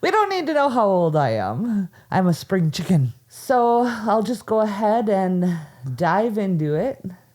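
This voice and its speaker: Against noticeable background noise, a woman with an American accent speaks at medium pitch with lively intonation. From Minnesota. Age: 40s. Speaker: podcast host. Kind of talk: casual chat; storytelling.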